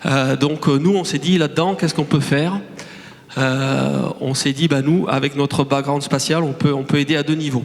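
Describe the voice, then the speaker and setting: Over noticeable background noise, a man in a Toulouse accent talks at a moderate pace with a fairly high pitch and fairly even intonation. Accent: Toulouse (southern French). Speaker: startup director. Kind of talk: conference talk. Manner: hesitant, many fillers and repetitions.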